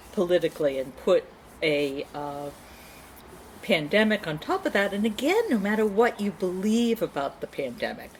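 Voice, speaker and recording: Noticeable background noise sits behind a woman speaking at a moderate pace. Her medium pitch swings very widely. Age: 60s. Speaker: therapist. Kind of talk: casual chat.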